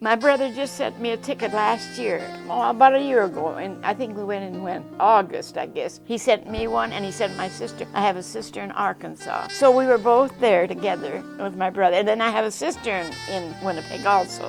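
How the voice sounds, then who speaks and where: Over music in the background, a woman talks at a fairly quick pace with hardly any pauses. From Czechoslovakia, raised partly in Canada. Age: 80s+. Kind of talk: interview answer.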